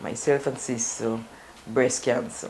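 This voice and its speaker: The pace of this woman's speech is fairly slow. Ordinary pitch variation runs through it. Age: 60s. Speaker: cancer survivor. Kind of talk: interview.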